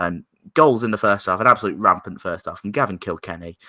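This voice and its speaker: On a very clean recording against a silent background, a man's tone comes across bright and sharp. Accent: English. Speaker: football podcast host. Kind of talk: casual podcast discussion. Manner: halting.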